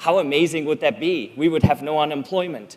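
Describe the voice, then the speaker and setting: Man with a Swiss German accent, fairly high pitch, lively intonation, and a moderate pace. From Switzerland. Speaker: public speaker. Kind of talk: talk to an audience.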